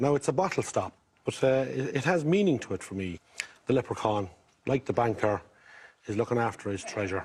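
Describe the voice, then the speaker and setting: Talking at a fairly quick pace in a Mayo accent, a man lets his pitch swing very widely. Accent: Irish, County Mayo. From Ireland, County Mayo. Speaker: game show contestant. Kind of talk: casual chat. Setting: TV studio with audience.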